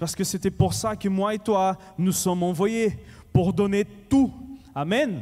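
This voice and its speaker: With long, frequent pauses, a man speaks very slowly in a high voice with a dark, mellow tone and ordinary pitch variation. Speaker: pastor. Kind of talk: sermon. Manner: animated; halting.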